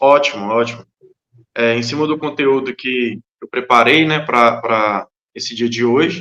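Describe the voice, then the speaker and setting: Fairly slow speech from a man at medium pitch, bright and sharp in tone, with ordinary pitch variation and long, frequent pauses. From Brazil, Minas Gerais (Montes Claros). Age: 30s. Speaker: itinerant preacher. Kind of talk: podcast interview.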